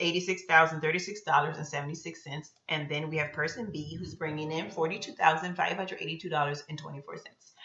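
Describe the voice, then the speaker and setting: In an ordinary speaking voice, a woman talks at a fairly low pitch with ordinary pitch variation. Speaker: personal finance youtuber. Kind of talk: tutorial.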